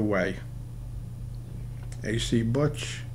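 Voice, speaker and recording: Someone speaks in a strong Brooklyn accent, with audible room echo. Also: man. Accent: Brooklyn accent, still strong. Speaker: poker coach. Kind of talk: game commentary tutorial. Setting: studio. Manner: casual, with many fillers.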